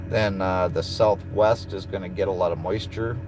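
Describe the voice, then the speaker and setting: This man talks at a fairly low pitch and a moderate pace. His intonation is monotone and flat, and the room echo is audible. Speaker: truck driver and streamer. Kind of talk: casual live stream chat. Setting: in a truck.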